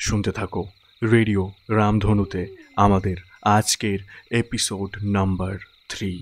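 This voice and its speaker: The delivery stays flat and monotone. It is captured on a very clean recording with a silent background. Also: man, fairly low pitch for a man. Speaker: radio-style horror story host. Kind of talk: podcast show intro.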